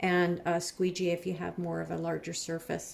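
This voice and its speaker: A quiet woman's voice at medium pitch. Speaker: craft designer and seller. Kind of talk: tutorial. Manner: quiet while concentrating.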